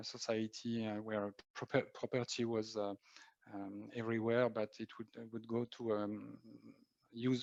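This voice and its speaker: A man speaks in a monotone, flat intonation, recorded with a dry, close sound and no echo. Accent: French. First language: French. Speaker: marketing executive. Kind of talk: interview. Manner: halting.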